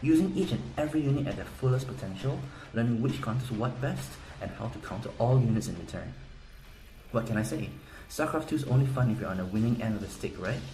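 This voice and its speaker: A man talks very fast at a medium pitch with ordinary pitch variation. Room echo can be heard. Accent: Korean. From South Korea. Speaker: game guide seller. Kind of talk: sales pitch.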